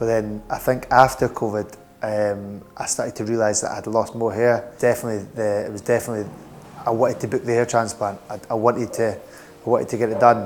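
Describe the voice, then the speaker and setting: Music plays in the background as a man talks at a moderate pace. He has a Scottish accent and a medium pitch. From Edinburgh, Scotland. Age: 20s. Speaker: hair transplant patient. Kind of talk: patient testimonial interview answer. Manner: hesitant, casual.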